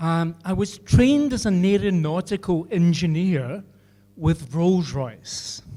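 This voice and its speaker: Someone talks at a very slow pace with a Scottish accent. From Scotland, Glasgow. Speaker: engineer. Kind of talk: speech. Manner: halting.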